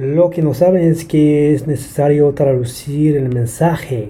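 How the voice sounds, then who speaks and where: At a very slow pace, a man with a fairly high-pitched voice speaks in a somewhat breathy way. His tone is dark and mellow, and his intonation fairly even. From Brisbane, Australia. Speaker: translator and language teacher. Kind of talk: interview.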